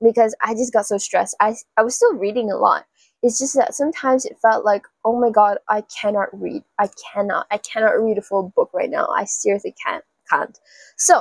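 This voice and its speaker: A woman talking at a fairly quick pace, dry sound with no echo, quiet background. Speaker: book vlogger. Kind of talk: casual vlog chat. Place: home room.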